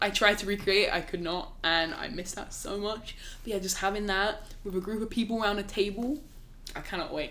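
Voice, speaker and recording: In a southern English accent, a woman talks at a fairly quick pace with a medium pitch, ordinary pitch variation, and an animated, bright, sharp tone, with audible room echo. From England, Oxford. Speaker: student-athlete. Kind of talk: casual chat.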